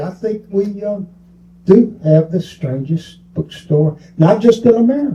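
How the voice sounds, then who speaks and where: A man's high-pitched voice, dark and mellow in tone, moves with lively intonation at a fairly slow pace. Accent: Southern US. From US South, Mobile, Alabama. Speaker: bookstore owner. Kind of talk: interview.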